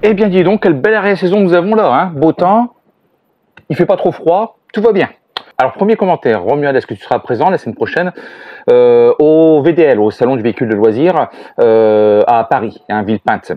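A man talking at a fairly quick pace, dry sound with no echo and a quiet background. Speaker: family travel vlogger. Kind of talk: casual vlog chat answering comments.

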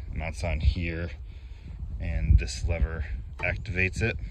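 A man over loud background noise, in a dry sound with no echo. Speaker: tractor owner. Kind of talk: walkaround tutorial commentary. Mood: relaxed, proud. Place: open country. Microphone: phone near.

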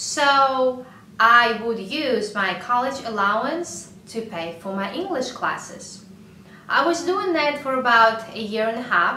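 A high-pitched woman at a very slow pace with lively intonation, light background noise and audible room echo. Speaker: YouTuber. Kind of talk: vlog talking to camera. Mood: friendly, warm.

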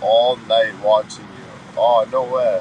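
Male speech with light background noise and a dry sound lacking any echo. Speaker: livestreamer. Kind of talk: casual livestream chat reading comments. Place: car. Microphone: phone near.

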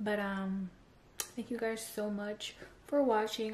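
At a moderate pace, the talking runs over light background noise. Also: woman. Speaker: vlogger. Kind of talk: casual vlog chat. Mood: playful, upbeat. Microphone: phone near.

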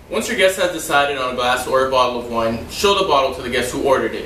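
Very fast male speech with ordinary pitch variation, audible room echo and light background noise. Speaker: server demonstrating wine service. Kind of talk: tutorial. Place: home room. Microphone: camera far.

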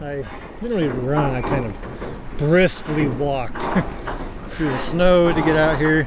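The speech comes at a fairly slow pace over loud background noise. The sound is dry with no echo. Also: man. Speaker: ship-watching vlogger. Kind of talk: casual vlog chat. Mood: amused, relaxed. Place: waterside. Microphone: phone near.

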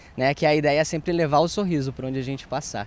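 A man's voice comes through dry with no echo over light background noise. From Rio Grande do Sul, Passo Fundo; Rio Grande do Sul. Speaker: actor and clown; actor. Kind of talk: TV interview. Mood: cheerful, smiling. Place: garden. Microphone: handheld.

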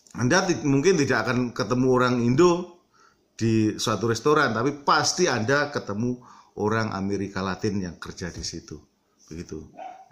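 A man talks at a moderate pace with very wide pitch swings and big swings in loudness. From Indonesia. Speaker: vlogger; vlogger giving advice. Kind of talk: casual vlog monologue; casual vlog chat. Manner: mixes English filler words into Indonesian. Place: home room. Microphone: phone near.

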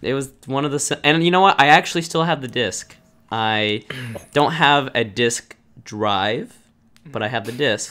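A man speaks in a bright, sharp tone. His intonation is lively. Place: home room.

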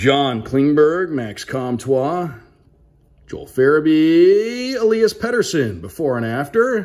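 Upbeat and enthusiastic, a man talks at a fairly high pitch with very wide pitch swings. The background is quiet. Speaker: radio play-by-play broadcaster. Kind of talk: casual talk to camera. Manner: upbeat, enthusiastic. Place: home room. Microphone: phone near.

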